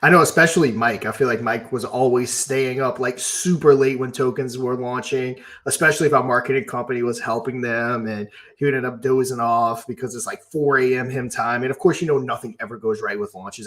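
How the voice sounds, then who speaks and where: Man in a normal speaking voice, medium pitch, ordinary pitch variation and a fairly quick pace. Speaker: crypto YouTuber and livestream co-host. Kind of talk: casual livestream chat.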